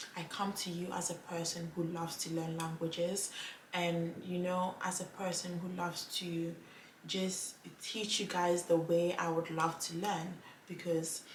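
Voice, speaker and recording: A woman's fairly low voice, fairly slow and monotone, with flat intonation, audible room echo and noticeable background noise. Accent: Ghanaian. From Ghana. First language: Twi. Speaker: language vlogger. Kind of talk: casual vlog talk to camera.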